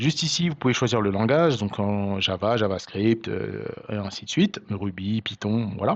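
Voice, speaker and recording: Fairly low male pitch with ordinary variation. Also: moderate pace. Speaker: programming tutor. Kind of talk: tutorial. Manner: hesitant, many fillers.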